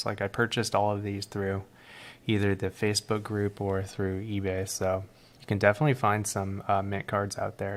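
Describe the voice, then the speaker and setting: Quietly and at a fairly quick pace, a man with a fairly low pitch speaks in a very clean recording with a silent background. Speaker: card collector streamer. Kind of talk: live stream card reveal. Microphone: mic placed close, odd room acoustics.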